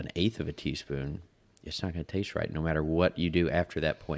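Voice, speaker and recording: In a very deep, low pitch, a man talks at a moderate pace. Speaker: podcast host. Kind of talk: casual chat. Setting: studio. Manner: monotone.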